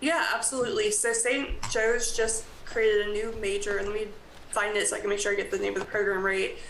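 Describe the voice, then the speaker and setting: Amid noticeable background noise and audible room echo, a fairly high-pitched woman with an American accent talks at a very fast pace with fairly even intonation. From US South. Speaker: college graduate assistant. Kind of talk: public meeting presentation.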